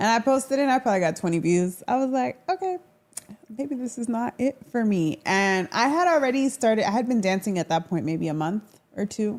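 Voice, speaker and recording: An animated woman speaks fairly quickly with a Florida accent. Her fairly high voice swings very widely in pitch. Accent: American, Florida. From Orlando, Florida. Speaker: social media dancer. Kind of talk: casual chat.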